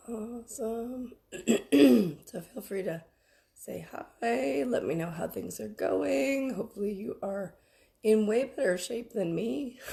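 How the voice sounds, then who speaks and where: Very slowly and with long, frequent pauses, a woman speaks in a somewhat breathy, dark, mellow tone at medium pitch, swinging very widely in pitch. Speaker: spiritual business coach. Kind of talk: livestream workshop. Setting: Facebook live stream. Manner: casual, chatty.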